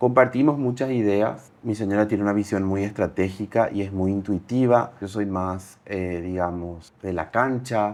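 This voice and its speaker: Against a quiet background, a man with an unremarkable speaking voice and fairly low pitch talks at a fairly slow pace with hardly any pauses. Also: ordinary pitch variation. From Paraguay. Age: 30s. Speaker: entrepreneur. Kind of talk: interview.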